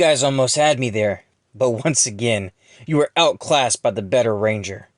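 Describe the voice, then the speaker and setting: A man puts on a raspy character voice at a medium pitch with ordinary pitch variation. He keeps a moderate pace, and the sound is dry and close with no echo. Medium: audio drama. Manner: sneering, contemptuous.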